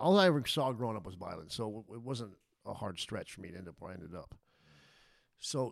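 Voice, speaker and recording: A man with an American accent talks at a fairly quick pace and medium pitch, his pitch swinging very widely. His loudness swings a lot, and his pauses are long and frequent. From Las Vegas, Nevada. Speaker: former prisoner. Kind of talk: interview, life story.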